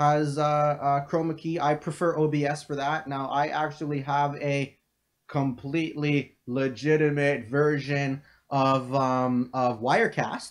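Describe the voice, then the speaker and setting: A man at a fairly slow pace, fairly high in pitch, with monotone, flat intonation, against a quiet background. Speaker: crypto trading analyst streamer. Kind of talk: live stream Q&A. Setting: home live stream, living room. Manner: casual with many fillers.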